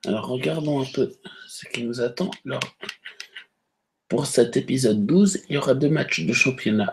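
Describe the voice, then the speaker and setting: A man speaks at a fairly slow pace, with long, frequent pauses and big swings in loudness. His intonation is lively and his voice somewhat breathy. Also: medium pitch for a man. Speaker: gaming youtuber. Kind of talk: gameplay commentary. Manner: hesitant; soft-spoken.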